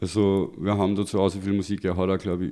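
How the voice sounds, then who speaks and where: There's a dark, mellow tone to this man's voice, which is very deep and low in pitch. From Austria, Linz. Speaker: rapper. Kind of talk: casual chat. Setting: studio.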